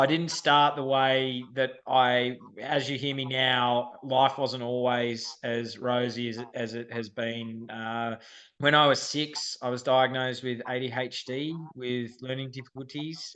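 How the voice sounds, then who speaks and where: Speaking at a fairly slow pace, a man with an Australian accent keeps a medium pitch and a monotone, flat intonation. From Australia, Sydney. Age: 30s. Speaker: firefighter. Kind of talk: podcast interview.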